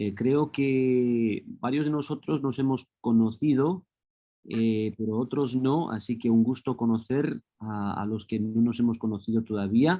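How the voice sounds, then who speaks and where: A man with a Spanish accent talks at a fairly slow pace, his dark, mellow tone at medium pitch with ordinary pitch variation. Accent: Spain Spanish. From Los Angeles, US. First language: English (speaking Spanish). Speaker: professor. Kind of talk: lecture. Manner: hesitant with frequent fillers.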